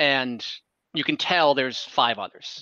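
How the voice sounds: A man speaks at a fairly slow pace. His tone is bright and sharp.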